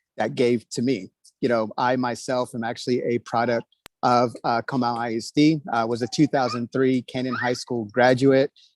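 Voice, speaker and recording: The speech comes in an American accent with flat, monotone intonation. The sound is dry and close, without echo. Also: man, medium pitch for a man, moderate pace. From Texas, New Braunfels. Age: 30s. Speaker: school board candidate. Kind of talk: candidate speech at online meeting. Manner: many fillers (uh, um).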